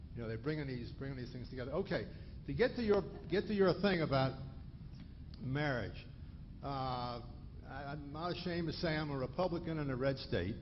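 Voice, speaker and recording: With vocal fry and a fairly high pitch, a man talks at a fairly quick pace with lively intonation, long and frequent pauses, and audible room echo. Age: 60s. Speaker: retired physician, audience member asking a question. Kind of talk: audience question at a lecture. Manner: halting, many restarts.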